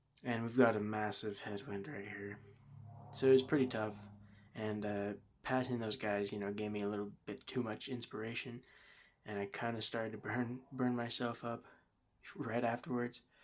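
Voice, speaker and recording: Speaking at a moderate pace and medium pitch, a man keeps his intonation fairly even. He leaves long, frequent pauses. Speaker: vlogger, amateur cyclist. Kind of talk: casual monologue. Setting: in a parked van. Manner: rambling, hesitant with fillers.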